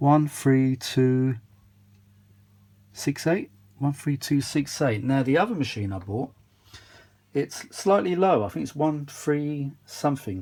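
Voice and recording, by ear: With lively intonation and a slightly mellow tone, a man speaks slowly at a medium pitch, leaving long, frequent pauses.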